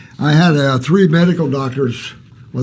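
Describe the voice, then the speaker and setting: Against noticeable background noise and audible room echo, a man talks at a moderate pace with a fairly high pitch and ordinary pitch variation. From Alaska. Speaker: naturopathic health advisor. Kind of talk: live Q&A answering viewer questions. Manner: animated.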